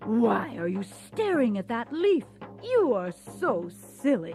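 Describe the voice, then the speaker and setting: Using a put-on character voice, a man speaks high-pitched at a fairly slow pace. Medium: read story. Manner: loud, mocking.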